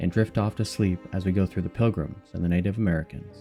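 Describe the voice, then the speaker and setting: A man speaks in a calm tone at a fairly quick pace, his pitch fairly low. Music plays in the background. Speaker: history narrator. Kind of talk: sleep story. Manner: calm, grounded documentary tone.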